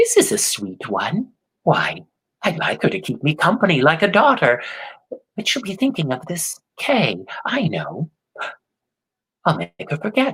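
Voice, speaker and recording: A put-on character voice, creaky in quality, moves at a moderate pace. Long pauses break it up often. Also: man, high pitch for a man. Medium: read story.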